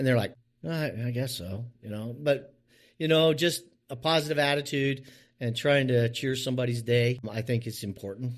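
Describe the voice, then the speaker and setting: A plain, everyday voice from a man with an American accent, medium pitch, ordinary pitch variation and a moderate pace, on a very clean recording with a silent background. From US West Coast (Oregon), Mennonite community. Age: 60s. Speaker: business owner in the trades. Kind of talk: interview. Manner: casual, repetitive.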